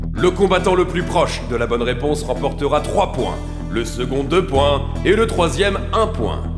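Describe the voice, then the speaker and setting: A man talks at a moderate pace in an upbeat, energetic tone with ordinary pitch variation. Music plays in the background. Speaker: voice actor. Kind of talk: game show announcer.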